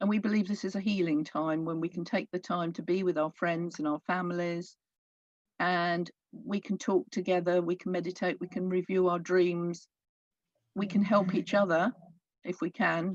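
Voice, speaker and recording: A soft-spoken woman talks at a moderate pace and a fairly low pitch, with fairly even intonation. The background is quiet, and the sound is dry and close with no echo. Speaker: pagan speaker at interfaith event.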